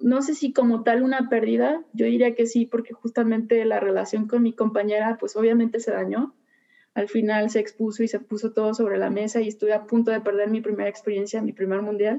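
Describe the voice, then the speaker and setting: Monotone, flat intonation at a fairly quick pace, with a Mexican accent. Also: woman, fairly high pitch for a woman. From Mexico, Puerto Vallarta. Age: 30s. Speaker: athlete. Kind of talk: interview.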